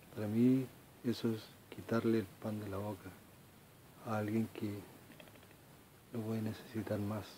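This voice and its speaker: Fairly low-pitched man at a fairly slow pace, monotone and flat, with long, frequent pauses and light background noise. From Chile. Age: 40s. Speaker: video blogger. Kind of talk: personal monologue. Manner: halting. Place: home room. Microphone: phone near.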